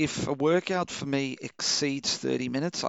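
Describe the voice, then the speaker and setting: At a fairly slow pace, an unremarkable speaking voice delivers fairly even intonation. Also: man. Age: 40s. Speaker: podcast host. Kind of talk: casual monologue.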